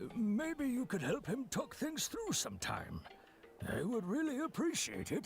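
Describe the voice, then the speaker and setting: The speaker uses a put-on character voice at a fairly high pitch and a moderate pace. Clear background noise runs underneath. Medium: video game. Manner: measured, sympathetic.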